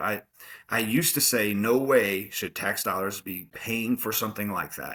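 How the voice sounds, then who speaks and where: A man speaks loudly at a moderate pace in a bright, sharp tone. The recording is very clean with a silent background. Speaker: college football coach. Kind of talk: interview. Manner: animated.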